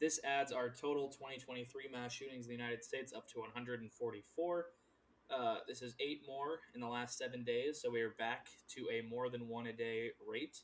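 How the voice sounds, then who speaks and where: A man speaks in a normal speaking voice at a moderate pace, with a medium pitch and fairly even intonation. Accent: American. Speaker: podcast host.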